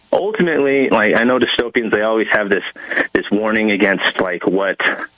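Amid noticeable background noise, a man talks at a fairly quick pace, his medium pitch showing ordinary pitch variation. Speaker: author and military veteran. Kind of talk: interview. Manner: halting.

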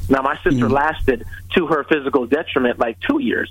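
A medium-pitched man talks at a fairly quick pace over noticeable background noise. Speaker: leadership author. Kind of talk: radio interview. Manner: emphatic, warm.

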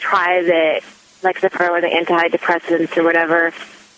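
A woman with a fairly low voice speaks at a moderate pace over noticeable background noise. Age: 30s. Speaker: caller. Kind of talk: phone-in question. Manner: hesitant, many fillers.

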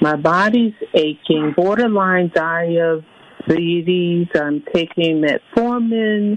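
A woman with an American accent, speaking at a very slow pace with ordinary pitch variation, over noticeable background noise. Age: 50s. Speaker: caller. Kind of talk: call-in health question. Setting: phone call.

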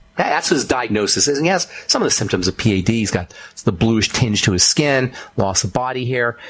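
Amid noticeable background noise, a man with an American accent and medium pitch speaks at a fairly quick pace, with lively intonation and an animated tone. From Boulder, Colorado. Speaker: radio host and pharmacist. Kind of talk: radio show monologue on nutrition. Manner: animated, emphatic.

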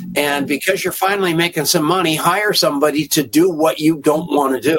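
Over music in the background, a man speaks at a moderate pace, fairly high in pitch with ordinary pitch variation. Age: 70s. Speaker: radio host. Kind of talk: casual interview chat. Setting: cruise ship at sea.

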